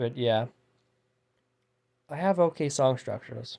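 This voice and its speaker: A dark, mellow tone comes through. The background is silent and the recording very clean. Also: man. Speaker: outsider musician. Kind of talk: casual monologue vlog. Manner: fast; halting.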